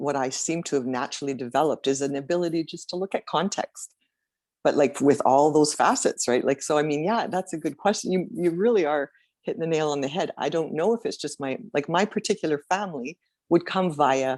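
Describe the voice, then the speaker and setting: A very deep, low woman's voice with lively intonation at a fairly quick pace, dry and close with no echo, on a very clean recording with a silent background. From Saskatchewan, Canada. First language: French. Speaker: guest. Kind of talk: casual chat.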